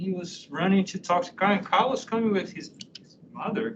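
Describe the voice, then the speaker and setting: Speaking with a non-native accent, a man with a high pitch talks at a moderate pace amid audible room echo and noticeable background noise. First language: not English. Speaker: university professor. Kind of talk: lecture.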